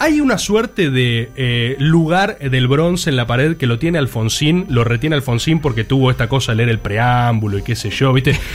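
Against noticeable background noise, a man at a medium pitch speaks at a moderate pace with hardly any pauses, very even loudness and ordinary pitch variation. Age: 20s. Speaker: radio podcast co-host. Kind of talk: casual panel chat.

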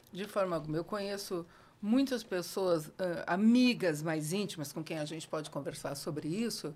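This woman has an ordinary speaking voice, fairly low in pitch, with ordinary pitch variation and a moderate pace. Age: 60s. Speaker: educator. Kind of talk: casual interview.

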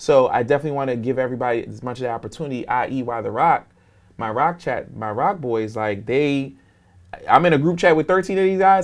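A plain, everyday voice moves at a fairly quick pace with lively intonation on a very clean recording with a silent background. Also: man. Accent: American. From New York and Philadelphia, US. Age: 30s. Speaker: entrepreneur. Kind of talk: interview.

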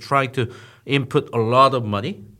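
A man's medium-pitched voice with a bright, sharp tone and a Korean accent, at a moderate pace on a very clean recording with a silent background. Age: 40s. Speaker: startup founder and media CEO. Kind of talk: interview. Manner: hesitant with fillers.

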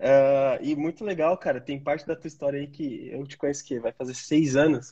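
Somewhat breathy and fairly high-pitched, a man speaks at a moderate pace. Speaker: channel host. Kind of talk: casual interview. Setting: online live stream.

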